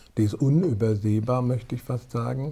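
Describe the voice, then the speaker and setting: Here a man speaks at a moderate pace with a medium pitch. His voice is somewhat breathy. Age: 40s. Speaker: former priest and hunter. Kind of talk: podcast interview.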